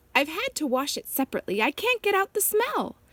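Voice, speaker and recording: Squeaky and extremely high, a woman puts on a character voice at a very fast pace. Her pitch swings very widely. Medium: read story. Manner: humble, curtsying politeness.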